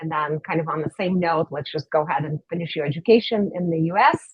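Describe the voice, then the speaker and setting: The speaker has a slight Russian accent and moves at a fairly quick pace. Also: woman. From Russia, Saint Petersburg. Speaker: dentist. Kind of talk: interview.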